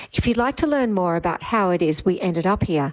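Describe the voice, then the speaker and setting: Lively intonation at a moderate pace in a woman's medium-pitched voice. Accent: Australian. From Australia. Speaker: vlogger. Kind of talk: vlog narration.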